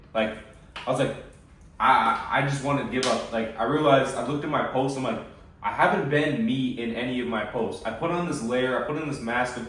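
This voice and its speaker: This American-accented man talks at a fairly quick pace with ordinary pitch variation. The room echo is audible, and background noise is noticeable. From USA. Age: 20s. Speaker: fitness coach. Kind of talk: casual chat. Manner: halting.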